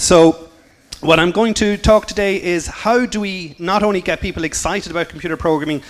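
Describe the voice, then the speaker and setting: There is noticeable background noise behind a man speaking with an Irish accent. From Ireland. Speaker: computer science teacher. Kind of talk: conference talk. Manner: fast.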